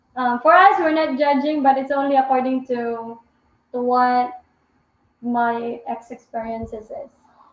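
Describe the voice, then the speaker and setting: A woman with a high pitch speaks at a fairly slow pace, with ordinary pitch variation and big swings in loudness. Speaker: vlogger. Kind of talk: live stream Q&A chat. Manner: talkative.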